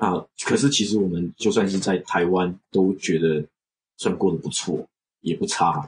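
Speaking fairly slowly, a man uses a very deep, low pitch. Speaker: software engineer. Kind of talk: casual interview. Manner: halting, many fillers.

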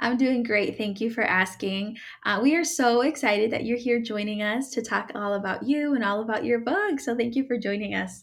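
A woman's plain, everyday voice, fairly high in pitch, with ordinary pitch variation, at a moderate pace and with hardly any pauses. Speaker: podcast host. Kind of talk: interview, podcast host conversation.

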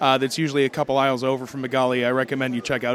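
A man is speaking. Background noise is noticeable. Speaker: roving interviewer at convention. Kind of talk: man-on-the-street interviews. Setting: convention hall, outdoors and booths.

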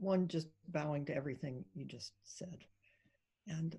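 Somewhat breathy and fairly low in pitch, a woman speaks at a fairly slow pace with a dark, mellow tone. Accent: American. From US Midwest, Ohio. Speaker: Zen priest and teacher. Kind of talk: interview.

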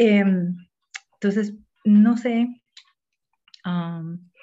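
Her tone is dark and mellow. This woman sounds somewhat breathy. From Panama. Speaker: poet and academic researcher. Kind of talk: online literary discussion.

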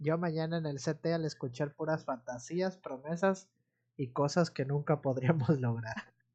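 Fairly slowly, a man delivers his words with ordinary pitch variation. There is a somewhat breathy quality to his voice. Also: fairly high pitch for a man. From Mexico, Veracruz (Amatlán de los Reyes, near Córdoba). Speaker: teacher, podcast co-host. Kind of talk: casual chat.

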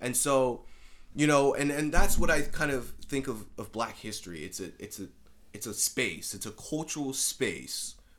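The man's voice carries vocal fry and lively intonation. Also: medium pitch for a man, moderate pace. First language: Spanish. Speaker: student podcast host. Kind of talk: casual interview conversation.

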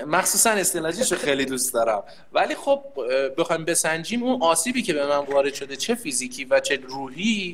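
A man speaks high in pitch at a moderate pace. His pitch swings very widely. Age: 30s. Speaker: conscript soldier and employer. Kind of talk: casual chat.

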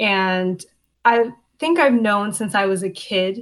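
A woman speaks in a Canadian accent at a fairly slow pace. She has a plain, everyday voice with a medium pitch and ordinary pitch variation. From Canada, Hamilton, Ontario. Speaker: law student. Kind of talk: interview.

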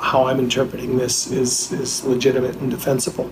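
A man speaks with an American accent. Noticeable background noise and audible room echo are present. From US Midwest, Wisconsin (Fox River, Green Bay area). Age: 50s. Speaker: journalist and author. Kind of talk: interview.

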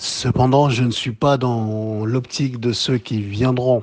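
Monotone, flat intonation at a fairly slow pace. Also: man. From DR Congo, Kinshasa. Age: 30s. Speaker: entrepreneur and Pan-African activist. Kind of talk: podcast interview.

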